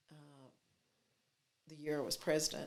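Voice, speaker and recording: A woman with a Texas accent has a very deep, low pitch. Vocal fry runs through her voice. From Texas, Fort Worth. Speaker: city mayor. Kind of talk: interview.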